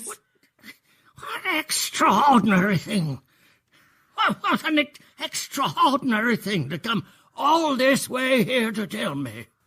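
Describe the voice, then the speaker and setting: Using a put-on character voice, a man speaks in a raised, projected voice at an extremely high pitch, his pitch swinging very widely and his loudness in big swings, at a fairly slow pace with long, frequent pauses. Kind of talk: 1950s BBC radio drama. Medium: audio drama. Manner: gruff, barking, impatient.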